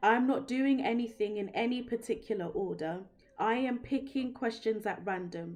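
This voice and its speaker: In a British accent, a woman speaks at a fairly high pitch. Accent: British accent, remarked on by viewer. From London, England. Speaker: tarot reader. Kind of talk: live-stream tarot reading. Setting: live stream. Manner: casual, conversational.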